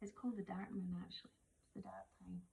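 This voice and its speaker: In a Scottish accent, the speaker has a dark, mellow tone and keeps a moderate pace. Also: woman. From Scotland. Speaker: witch and oracle card reader. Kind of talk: casual chat. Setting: kitchen while cooking. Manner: loud.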